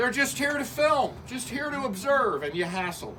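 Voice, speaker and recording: A man speaks at a moderate pace in a raised, projected voice with an extremely high pitch and lively intonation, over noticeable background noise. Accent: American. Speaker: political candidate and citizen journalist. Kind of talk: heated confrontation. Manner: loud.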